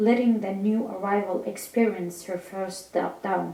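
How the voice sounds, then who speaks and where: A woman's medium-pitched voice at a fairly slow pace, with fairly even intonation, audible room echo and noticeable background noise. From Iraqi Kurdistan. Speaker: novelist. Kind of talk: reading aloud. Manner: halting, with self-corrections.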